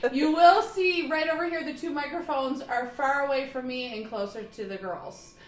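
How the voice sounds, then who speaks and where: With lively intonation and a high pitch, a woman talks at a moderate pace, hardly pausing, her loudness swinging widely over noticeable background noise. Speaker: podcast host. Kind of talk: casual chat. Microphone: close to mic, others' mics far away.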